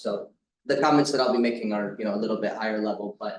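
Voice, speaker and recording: A man talks at a very fast pace. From United States. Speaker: academic economist, conference discussant. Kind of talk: conference discussant talk.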